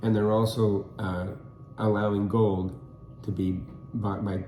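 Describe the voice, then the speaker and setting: With an American accent, a man speaks slowly-ish at a fairly low pitch, his intonation fairly even and his voice carrying audible room echo. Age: 70s. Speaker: co-host. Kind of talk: casual discussion. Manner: halting, many fillers.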